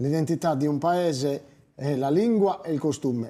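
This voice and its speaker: At a moderate pace, a man with a fairly high pitch talks with ordinary pitch variation. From Sardinia, Lodine (Barbagia). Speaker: singer and poet. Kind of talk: interview.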